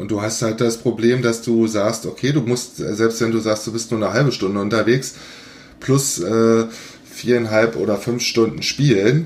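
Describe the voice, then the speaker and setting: Delivering an ordinary speaking voice, a man talks at a moderate pace with medium pitch and fairly even intonation. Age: 50s. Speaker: golf blogger and podcaster. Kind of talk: casual chat.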